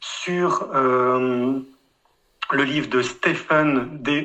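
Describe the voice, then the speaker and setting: The intonation is fairly even. It belongs to a man with a medium pitch. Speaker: atheist commenter. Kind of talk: closing statement.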